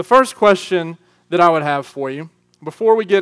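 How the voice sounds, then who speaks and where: Speaking at a fairly quick pace, a man with a Southern US accent uses a high pitch and lively intonation on a very clean recording with a silent background. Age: 30s. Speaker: youth pastor. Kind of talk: sermon. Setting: church youth group with live audience. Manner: animated.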